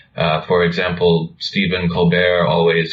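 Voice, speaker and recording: A man with an American accent speaks at a fairly slow pace, his pitch very deep and low. There is noticeable background noise. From United States. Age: young. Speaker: video channel co-host. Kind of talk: conversational discussion.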